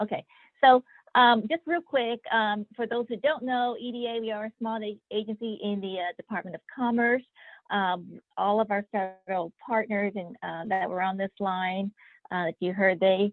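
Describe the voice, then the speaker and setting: A woman talks in a normal speaking voice at a fairly high pitch. Her pitch varies in an ordinary way, at a moderate pace. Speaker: federal economic development official. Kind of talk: webinar presentation.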